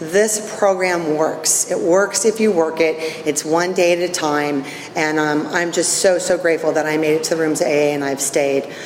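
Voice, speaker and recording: At a moderate pace, a woman speaks at a fairly low pitch with fairly even intonation, with audible room echo and noticeable background noise. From Northern California, US. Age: 60s. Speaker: recovery meeting speaker. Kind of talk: personal testimony.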